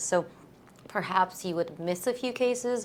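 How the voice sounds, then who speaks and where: A woman with a Russian accent at a moderate pace, with ordinary pitch variation. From born in Latvia. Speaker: eye surgeon. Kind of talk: interview. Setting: video podcast.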